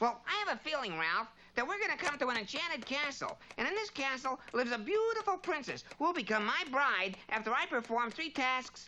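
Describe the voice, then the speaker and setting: A woman uses a cartoonish character voice, high in pitch with very wide swings. She moves at a fairly quick pace over clear background noise. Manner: brash, fast-talking.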